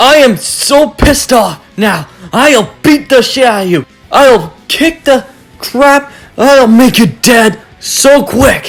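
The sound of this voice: A put-on character voice with vocal fry speaks at a slow pace with lively intonation. Faint music plays in the background.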